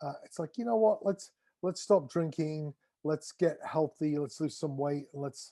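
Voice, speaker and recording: A man's fairly high voice with a dark, mellow tone, ordinary pitch variation and an English accent. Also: moderate pace. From England. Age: 60s. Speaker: drummer. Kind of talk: interview. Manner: halting.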